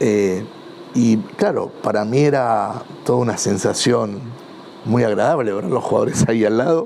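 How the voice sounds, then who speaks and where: With a Rioplatense accent, a man speaks at a moderate pace and medium pitch with ordinary pitch variation, amid noticeable background noise and audible room echo. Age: 60s. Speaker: football club supporter. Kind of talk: interview testimony. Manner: halting, many fillers and repetitions.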